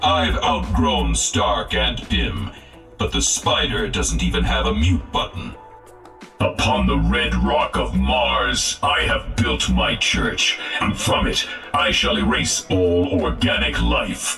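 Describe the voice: Over faint music in the background, a man puts on a character voice with an extremely low pitch, big pitch swings, a robotic, processed sound and a bright, sharp tone, speaking at a slow pace.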